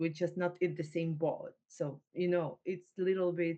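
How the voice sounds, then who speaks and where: A woman's fairly low-pitched, dark and mellow voice with a Ukrainian accent, at a fairly slow pace. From Ukraine. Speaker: refugee entrepreneur. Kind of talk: interview. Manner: halting, many fillers.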